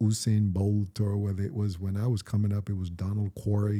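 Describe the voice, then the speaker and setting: Speaking fairly quickly, a man keeps a monotone, flat intonation in a somewhat breathy voice with a dark, mellow tone. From Jamaica. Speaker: podcast host, actor. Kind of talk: casual chat.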